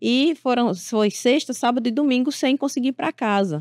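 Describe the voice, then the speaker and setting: A high-pitched woman's voice with lively intonation at a moderate pace, dry with no echo, over a quiet background. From Paraíba, Brazil (Sapé); Paraíba, Brazil. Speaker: political journalist, correspondent; journalist guest. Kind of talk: interview. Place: studio. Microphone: studio mic.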